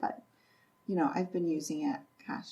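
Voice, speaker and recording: Speaking with an Upper Midwest accent, a woman has a medium pitch and very wide pitch swings. Her voice is somewhat breathy. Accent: Upper Midwest American. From North Central Iowa. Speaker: real estate investor and property manager. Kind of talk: podcast interview answer.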